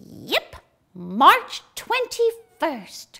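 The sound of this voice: A character voice is being put on here. Its pitch is extremely high.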